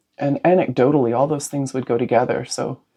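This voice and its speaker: The pace is fairly quick. The tone is dark and mellow. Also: woman. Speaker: podcast host. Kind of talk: conversational interview. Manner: loud.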